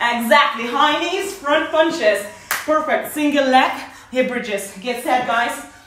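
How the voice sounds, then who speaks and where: Speaking very slowly, a woman uses a high pitch with ordinary pitch variation, with audible room echo and faint music in the background. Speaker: fitness instructor. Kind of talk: workout instruction. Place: home room. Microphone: camera far.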